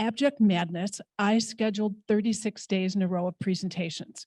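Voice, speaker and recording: A woman's fairly high, somewhat breathy voice with ordinary pitch variation, dry and close with no echo, on a very clean recording against a silent background. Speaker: immigration legal services director. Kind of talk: conference panel talk. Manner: fast; casual.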